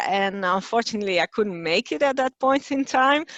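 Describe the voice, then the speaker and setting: Her intonation is lively. This woman talks with a Dutch accent. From Netherlands. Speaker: communications director. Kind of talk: webinar presentation. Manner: hesitant, many fillers.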